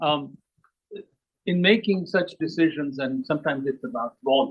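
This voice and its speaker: A man talks at a moderate pace. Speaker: audience member, scientist. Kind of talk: audience question.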